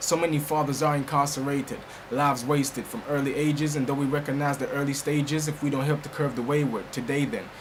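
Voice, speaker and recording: Noticeable background noise sits under a man talking at a very fast pace. His fairly high pitch follows fairly even intonation. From Jamaica. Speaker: spoken word poet. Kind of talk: spoken word poetry performance.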